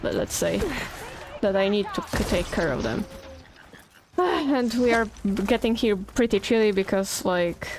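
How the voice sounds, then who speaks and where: A woman with a Polish accent and lively intonation, at a fairly slow pace with long, frequent pauses, over noticeable background noise. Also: medium pitch for a woman. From Poland. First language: not English. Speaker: video game streamer. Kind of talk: live gameplay stream chat. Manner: casual, chatty.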